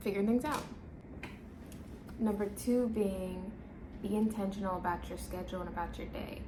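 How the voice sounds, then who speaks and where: A woman with an American accent speaks at a moderate pace, with noticeable background noise. She takes long pauses often. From Washington DC metro area. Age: 20s. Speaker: new mother. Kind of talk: casual talk to camera.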